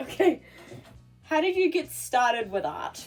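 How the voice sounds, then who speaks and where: There is music behind the speaker. She is a woman. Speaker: YouTuber and artist. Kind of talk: casual talk to camera.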